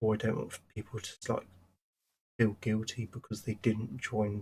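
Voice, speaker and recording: A somewhat breathy man's voice at a medium pitch, with fairly even intonation. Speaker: gaming streamer. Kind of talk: casual livestream chat. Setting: livestream. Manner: rambling, hesitant with fillers.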